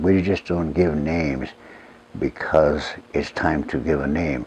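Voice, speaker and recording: There is noticeable background noise as a man speaks with a Lakota accent. His intonation is fairly even. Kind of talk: interview.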